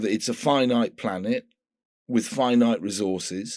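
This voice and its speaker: Here a man talks with a British accent. The recording is very clean, with a silent background. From UK. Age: 60s. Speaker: environmental activist. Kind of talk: interview conversation.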